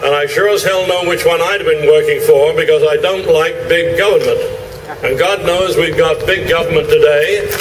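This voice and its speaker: A man speaks with an English accent at a moderate pace. There is audible room echo and noticeable background noise. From England (London area, Romford Essex). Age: 80s+. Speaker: retired veteran and former broadcaster. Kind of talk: rally speech.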